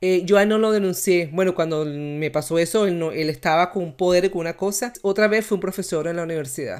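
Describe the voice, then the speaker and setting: Here is a plain, everyday voice with ordinary pitch variation. The recording is very clean, with a silent background. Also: woman. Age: 40s. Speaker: podcast host. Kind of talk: casual chat.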